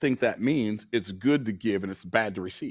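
A plain, everyday voice from a man of medium pitch, at a fairly quick pace on a very clean recording with a silent background. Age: 60s. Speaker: business coach. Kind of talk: interview.

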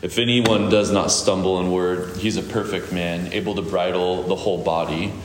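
Over noticeable background noise, the speaker keeps a moderate pace with fairly even intonation and hardly any pauses. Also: man, very deep, low pitch for a man. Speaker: church pastor and host. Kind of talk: scripture reading and introduction.

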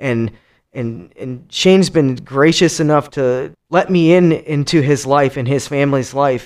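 Here a man speaks with a Midwestern American accent, his pitch fairly high with ordinary variation. The pace is fairly slow, and the recording is very clean with a silent background. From Cleveland, Ohio. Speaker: teacher with psychology degrees. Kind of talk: casual chat.

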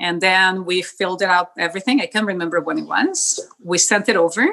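A woman's medium-pitched voice with a Spanish accent, a bright, sharp tone and a moderate pace. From southern Brazil, Porto Alegre. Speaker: podcast guest, immigrant. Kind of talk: casual interview.

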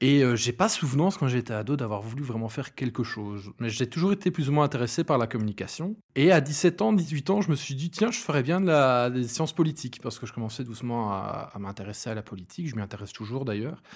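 A man with a Belgian accent talks at a very fast pace, medium in pitch with lively intonation and hardly any pauses. The recording is very clean, with a silent background. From Belgium, Hainaut. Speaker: event organizer. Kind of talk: casual interview.

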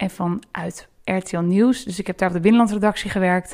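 A woman speaks in an unremarkable speaking voice, her intonation fairly even. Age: 20s. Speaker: talk show editor. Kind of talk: interview.

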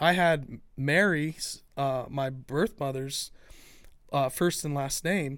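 On a very clean recording with a silent background, a man speaks in a plain, everyday voice with a fairly high pitch and ordinary pitch variation. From Ohio. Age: 40s. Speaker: podcast host. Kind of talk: casual chat.

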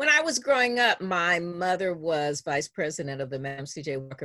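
A woman with an American accent uses a plain, everyday voice, fairly low in pitch with ordinary pitch variation, on a very clean recording with a silent background. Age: 60s. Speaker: journalist and biographer. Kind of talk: interview.

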